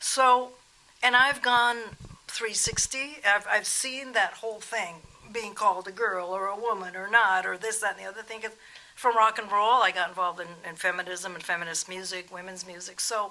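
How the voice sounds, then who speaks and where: A woman's ordinary speaking voice at a moderate pace, medium in pitch with ordinary variation and big swings in loudness. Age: 60s. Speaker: rock guitarist. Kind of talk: interview.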